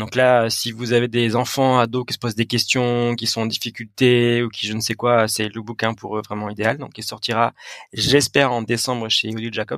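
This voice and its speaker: This man has a medium pitch and a flat, monotone intonation. He talks at a moderate pace. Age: 30s. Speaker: sports psychologist and mental coach. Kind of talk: interview.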